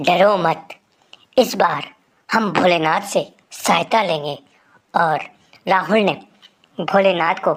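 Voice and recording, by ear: Someone is reading aloud in a natural voice with ordinary pitch variation. There is a quiet background.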